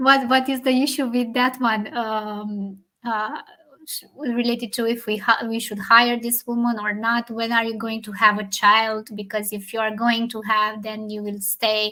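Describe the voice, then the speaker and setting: This speaker has a non-native accent and a moderate pace. The intonation is monotone and flat. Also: woman. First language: not English. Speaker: leadership talk show co-host. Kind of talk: casual discussion. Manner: halting.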